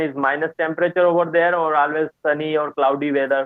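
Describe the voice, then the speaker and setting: A man with an Indian accent talks at a fairly quick pace in a fairly high pitch. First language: Hindi. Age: 20s. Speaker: student. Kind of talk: casual chat. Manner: halting.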